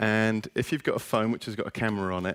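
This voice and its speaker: A man with an English accent talks at a fairly low pitch, the sound dry and close with no echo. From England, West Country (North Devon). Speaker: education lecturer. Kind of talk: presentation to audience. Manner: casual, upbeat.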